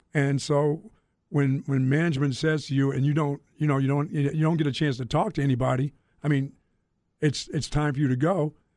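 A man with a plain, everyday voice, an American accent, fairly high pitch, fairly quick pace, fairly even intonation and very even loudness. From Greensboro, North Carolina. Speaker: radio host. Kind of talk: casual chat.

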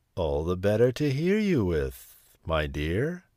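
Over a silent background in a very clean recording, a man uses a put-on character voice with a very deep, low pitch at a fairly slow pace. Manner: sly, sweetly deceptive.

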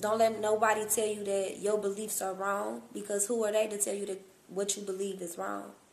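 With audible room echo, a woman of medium pitch speaks in a monotone, flat way at a fairly quick pace. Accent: American. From Cincinnati, Ohio, US Midwest. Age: young. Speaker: entrepreneur. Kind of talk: casual interview.

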